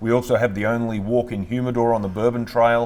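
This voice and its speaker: A man with an Australian accent at medium pitch, fairly quick, with monotone, flat intonation. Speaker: distillery owner, navy veteran. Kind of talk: casual interview.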